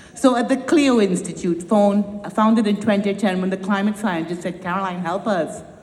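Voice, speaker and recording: Speaking with a slight Trinidadian accent at a moderate pace, the voice hardly pauses and has ordinary pitch variation. Audible room echo and noticeable background noise fill the recording. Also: woman, medium pitch for a woman. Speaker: nonprofit founder and climate educator. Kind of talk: conference speech. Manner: animated.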